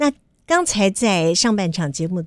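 At a moderate pace, a woman speaks with a dry sound with no echo over a quiet background. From Taiwan. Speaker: radio host. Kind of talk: interview. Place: studio. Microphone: studio mic.

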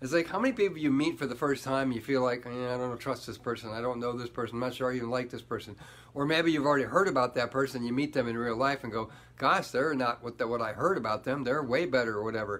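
A man at a very fast pace, with ordinary pitch variation. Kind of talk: motivational vlog talk. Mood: earnest, reflective. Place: home room. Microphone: phone near.

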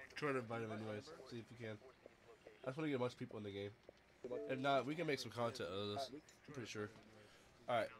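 A man at a very fast pace with ordinary pitch variation and long, frequent pauses, over noticeable background noise. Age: 20s. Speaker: gaming streamer. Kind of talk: casual chat. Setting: live stream. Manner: animated.

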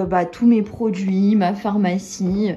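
Somewhat breathy and dark, mellow in tone, a woman's voice is heard. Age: 20s. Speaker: lifestyle vlogger and wellness coach; lifestyle vlogger. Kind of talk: apartment tour vlog. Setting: at home. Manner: casual, many fillers. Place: home room. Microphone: phone near.

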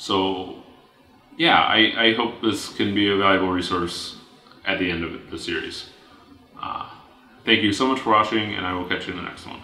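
A man with a fairly low pitch speaks at a moderate pace, pausing long and often. His loudness swings widely, his pitch varies in an ordinary way, and room echo is audible. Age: 20s. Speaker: vlogger. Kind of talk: personal video blog monologue. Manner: hesitant with fillers and repetitions. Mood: calm, friendly. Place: home room.

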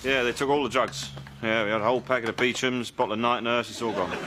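Very fast and medium in pitch, a man talks with ordinary pitch variation over noticeable background noise. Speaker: actor. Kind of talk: sitcom dialogue. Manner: distracted, hesitant. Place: shop.

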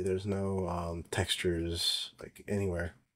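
A man's very deep, low voice in monotone, flat intonation. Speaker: software developer presenting his tool. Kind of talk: tutorial. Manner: filler-heavy, hesitant.

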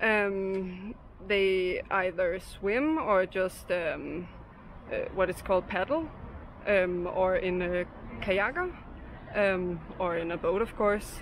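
A woman talks at a very slow pace with long, frequent pauses and ordinary pitch variation. The sound is dry with no echo, and there is light background noise. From Denmark, Copenhagen. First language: Danish. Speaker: local interviewee. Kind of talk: street interview. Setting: outdoors. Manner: hesitant, many fillers. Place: street. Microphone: phone near.

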